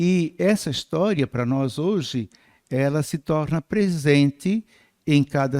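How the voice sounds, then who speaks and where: On a very clean recording with a silent background and a dry, close sound with no echo, a man speaks at a very slow pace with lively intonation. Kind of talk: lecture. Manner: soft-spoken.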